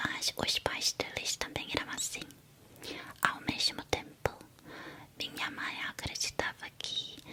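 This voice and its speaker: Noticeable noise fills the background. Over it, a woman whispers very slowly. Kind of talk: whispered ASMR talk about psychology. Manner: whispered, soft-spoken.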